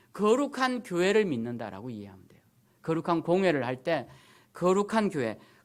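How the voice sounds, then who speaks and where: A very clean recording with a silent background and a moderate pace. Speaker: pastor. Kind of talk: sermon. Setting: church. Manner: speeds up on difficult topics.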